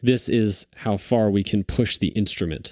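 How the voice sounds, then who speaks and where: A man with an American accent talks at a fairly low pitch in a dark, mellow tone with ordinary pitch variation. The sound is dry and close with no echo, over a quiet background. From US, Long Island, New York. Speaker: drummer and recording engineer. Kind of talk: casual chat.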